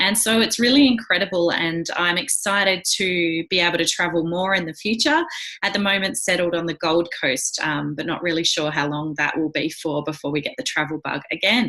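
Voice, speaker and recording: In an Australian accent, a woman talks at a fairly quick pace with hardly any pauses, using a fairly low pitch, ordinary pitch variation and an enthusiastic tone, with noticeable background noise. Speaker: wellness coach and direct sales leader. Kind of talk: presentation.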